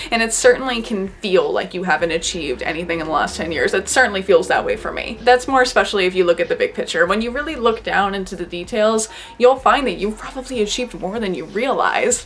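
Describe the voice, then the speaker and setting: Over light background noise, a woman with fairly high pitch rushes along at a very fast pace, with lively intonation and hardly any pauses. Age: 20s. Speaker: YouTuber and artist; YouTuber. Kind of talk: casual vlog monologue. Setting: bedroom at home, filming to camera. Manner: frequent laughter. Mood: reflective, warm, sometimes playful. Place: home room. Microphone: webcam.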